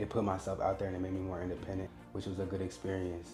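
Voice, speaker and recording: A man speaks in a fairly low voice with an American accent. Music plays in the background. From Indiana, Indianapolis. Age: 20s. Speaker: social media creator and model. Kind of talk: casual personal vlog narration. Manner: casual, relaxed with frequent fillers.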